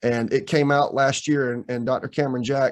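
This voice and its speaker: Here a man talks with an ordinary speaking voice. His pitch is medium and his intonation fairly even. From US South. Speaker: professor. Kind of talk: lecture. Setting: video call.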